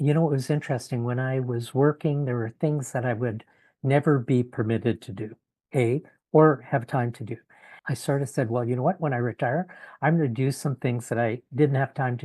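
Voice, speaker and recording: Speaking with a Canadian accent at a fairly quick pace, a man of medium pitch sounds somewhat breathy, with fairly even intonation and a dry, close sound with no echo against a quiet background. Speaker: retired in-house lawyer. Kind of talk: podcast interview. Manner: halting, many fillers.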